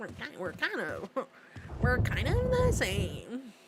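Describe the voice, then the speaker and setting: Noticeable background noise runs under this recording. A woman speaks at a very slow pace. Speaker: vtuber streamer. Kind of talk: casual gaming livestream chat. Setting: livestream.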